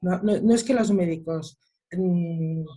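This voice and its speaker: A woman with a medium pitch speaks in a dark, mellow, somewhat breathy tone with ordinary pitch variation. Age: 60s. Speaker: mother of a son with Down syndrome. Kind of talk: online panel discussion. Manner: animated.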